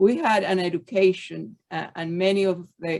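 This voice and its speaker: Here a woman talks. Her speech comes in a Spanish accent. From Cuba (Havana). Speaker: former student of the school. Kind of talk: panel discussion.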